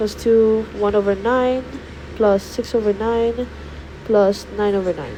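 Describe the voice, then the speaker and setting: Noticeable background noise runs under a woman speaking at a fairly slow pace with a fairly high pitch and fairly even intonation. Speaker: math tutor. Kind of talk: tutorial. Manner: hesitant.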